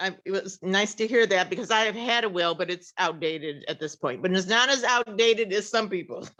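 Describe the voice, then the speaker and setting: A woman's bright, sharp tone carries ordinary pitch variation. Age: 60s. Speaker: audience member. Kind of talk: audience question. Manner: halting, hesitant.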